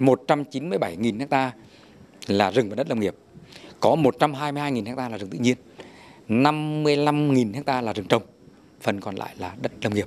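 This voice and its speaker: A man delivers his words at a moderate pace, his pitch varying in an ordinary way. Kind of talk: interview answer. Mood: friendly, smiling. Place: forest. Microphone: handheld.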